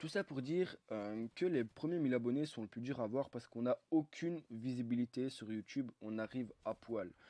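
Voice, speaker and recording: In a dry, close sound with no echo, a man speaks at a moderate pace with hardly any pauses, using a dark, mellow tone, a medium pitch and ordinary pitch variation. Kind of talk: gameplay commentary. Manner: hesitant, many fillers.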